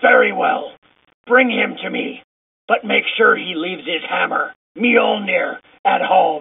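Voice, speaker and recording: A raspy, put-on character voice at a fairly high pitch moves at a fairly slow pace with long, frequent pauses. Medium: audio drama. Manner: menacing.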